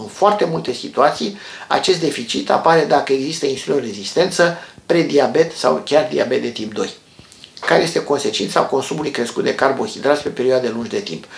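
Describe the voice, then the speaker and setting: A man with a fairly high pitch talks at a fairly quick pace. Room echo is audible. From Romania. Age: 50s. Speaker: health educator, former doctor; health educator. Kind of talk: health tutorial. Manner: calm explanatory. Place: home room. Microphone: phone near.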